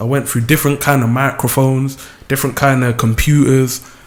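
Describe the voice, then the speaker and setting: A man in a South London accent, medium-pitched and at a moderate pace, with monotone, flat intonation. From South London, Lewisham. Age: 20s. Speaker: music video creator and deputy manager. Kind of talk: radio interview.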